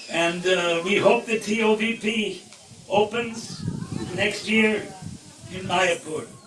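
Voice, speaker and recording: Over noticeable background noise, a man with a high pitch talks at a very slow pace, leaving long, frequent pauses. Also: fairly even intonation. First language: Indian language. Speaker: spiritual speaker. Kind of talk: spiritual talk.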